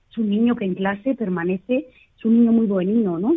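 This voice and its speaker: Here is a woman with a plain, everyday voice at a medium pitch. She talks at a fairly quick pace with ordinary pitch variation. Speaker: psychologist. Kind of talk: interview.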